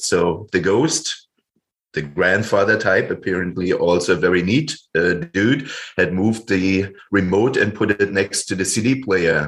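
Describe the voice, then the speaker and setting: A man speaks with a German accent at a fairly low pitch. His pace is fairly slow, with ordinary pitch variation. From Germany. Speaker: storyteller, kung fu coach, author. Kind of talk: interview answer.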